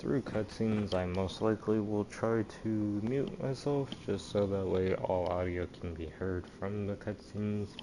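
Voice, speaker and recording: Fairly slow pace with hardly any pauses and ordinary pitch variation, over noticeable background noise. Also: man, fairly low pitch for a man. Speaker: gaming streamer. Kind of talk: live gameplay commentary. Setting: home, late at night.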